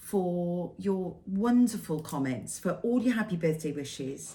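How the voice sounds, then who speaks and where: Speaking fairly slowly in a Welsh accent, a woman has a fairly low pitch, a dark, mellow tone, a somewhat breathy quality and ordinary pitch variation. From Wales. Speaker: cross-stitch vlogger. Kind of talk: casual vlog monologue.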